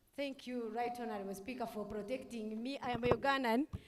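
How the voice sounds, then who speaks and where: A woman speaks in a high voice with ordinary pitch variation, and noticeable background noise is present. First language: Rukiga or Runyankole. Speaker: youth parliament member. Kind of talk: parliamentary debate speech.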